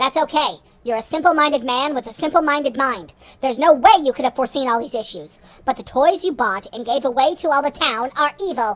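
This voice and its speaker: A female-sounding voice pitched high for a woman, done as a put-on character voice. The pace is fairly quick. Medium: audio drama. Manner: impatient, condescending.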